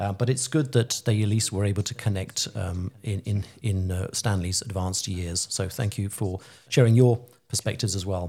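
On a very clean recording with a silent background, a man speaks at a moderate pace, his voice somewhat breathy, fairly low, dark and mellow, with fairly even intonation. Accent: British. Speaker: radio host. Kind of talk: interview, friendly chat.

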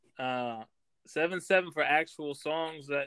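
A man with fairly high pitch at a fairly slow pace, in a dry, close sound with no echo. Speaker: judge and scorekeeper. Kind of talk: casual banter. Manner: jokey, animated.

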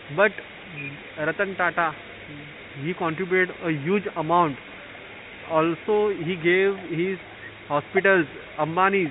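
Against noticeable background noise, a man with a high pitch talks at a fairly slow pace. His intonation is fairly even, with long, frequent pauses. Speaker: COVID patient. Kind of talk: casual chat. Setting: quarantine center, remote call.

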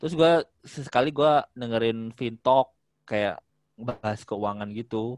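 At a fairly slow pace with long, frequent pauses, a man of medium pitch speaks with ordinary pitch variation in a dry, close sound with no echo. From Palembang, South Sumatra. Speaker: airport employee. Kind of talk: casual chat.

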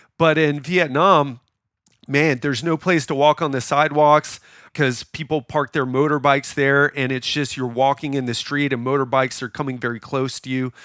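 A man with an ordinary speaking voice and a fairly high pitch talks in an American accent at a moderate pace with fairly even intonation, on a very clean recording with a silent background. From Miami, US. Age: 40s. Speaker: podcast host. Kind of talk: casual chat. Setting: in person in Bangkok.

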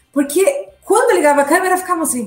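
A woman's voice with very wide pitch swings. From Brazil, São Paulo. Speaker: communication strategist. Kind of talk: interview. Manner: halting.

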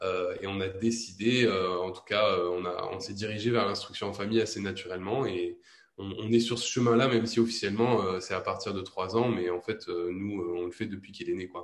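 At a moderate pace, the speech carries fairly even intonation over noticeable background noise. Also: man, fairly low pitch for a man. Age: 20s. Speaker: stay-at-home father. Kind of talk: interview.

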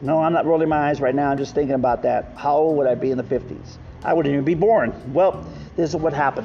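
Over noticeable background noise, a man with an American accent talks very fast in a fairly high voice, his intonation fairly even and his loudness very even. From Texas, Rio Grande Valley. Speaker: podcast host, chef and political candidate. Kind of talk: casual solo monologue. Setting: outdoors under a park pavilion.

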